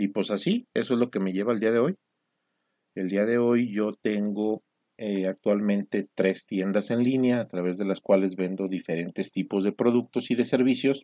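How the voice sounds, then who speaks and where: Dry and close with no echo, the recording holds a man speaking at a moderate pace. His tone is dark and mellow, and his intonation is fairly even. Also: fairly low pitch for a man. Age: 40s. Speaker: entrepreneur podcaster. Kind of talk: solo monologue podcast.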